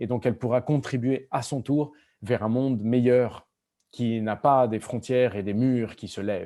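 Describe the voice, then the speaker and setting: Against a quiet background, a man with a Spanish accent speaks at a moderate pace in a medium-pitched, dark, mellow tone with fairly even intonation. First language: Spanish (speaking French). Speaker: novelist. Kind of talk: school Q&A conversation. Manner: halting with many repetitions.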